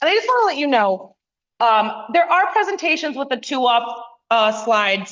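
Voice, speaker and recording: The voice is loud, with very wide pitch swings. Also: woman, high pitch for a woman. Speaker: community planner. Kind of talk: public meeting presentation. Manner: fast.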